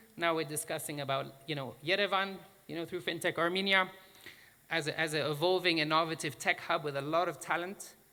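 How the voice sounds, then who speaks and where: This man speaks at a fairly quick pace in a high pitch, with fairly even intonation. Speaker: fintech association director. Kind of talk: conference presentation.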